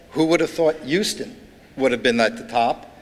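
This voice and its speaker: A man with a New York accent speaks at a fairly high pitch. His pitch varies in an ordinary way. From New York, Brooklyn. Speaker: author and urban studies speaker. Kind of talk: keynote lecture. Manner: halting.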